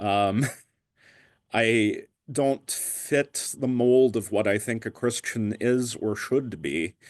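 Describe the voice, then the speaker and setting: A man speaks very slowly with an American accent, at a medium pitch. His pitch varies in an ordinary way, and the background is quiet. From Pennsylvania. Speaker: guest sharing conversion story. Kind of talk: testimony. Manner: halting, frequent ums.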